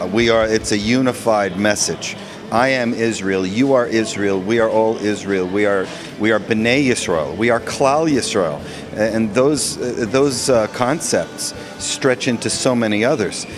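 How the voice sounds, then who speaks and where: With music in the background, a man speaks in an American accent at a fairly slow pace, his loudness very even. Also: medium pitch for a man, ordinary pitch variation. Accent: American accent when speaking Hebrew. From New York (Westchester). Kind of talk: interview. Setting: interview in Israel.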